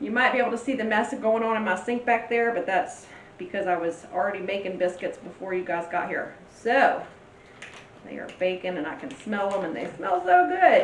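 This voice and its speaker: Moderate pace from a woman with an American accent, medium pitch and ordinary pitch variation, with noticeable background noise and audible room echo. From Louisiana, US South. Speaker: cooking channel host, author. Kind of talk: cooking tutorial. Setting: home kitchen. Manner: casual, chatty.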